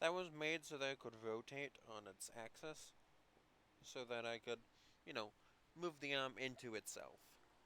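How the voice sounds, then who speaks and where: A man at medium pitch talks at a moderate pace with ordinary pitch variation and a bright, sharp tone. Long, frequent pauses break up his speech. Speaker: hobbyist builder. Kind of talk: tutorial. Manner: casual, halting.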